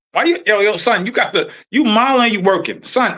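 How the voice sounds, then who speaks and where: A man with an American accent speaks in a raised, projected voice at an extremely high pitch, his tone bright and sharp and his pace fairly quick. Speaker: podcast host, former corrections officer. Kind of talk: casual chat. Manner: fast; animated, halting with repetitions.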